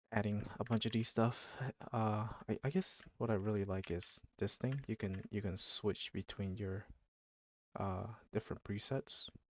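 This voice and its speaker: Mumbling at a fairly slow pace, a man talks with fairly even intonation. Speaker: gaming video creator. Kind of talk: gameplay commentary. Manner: halting.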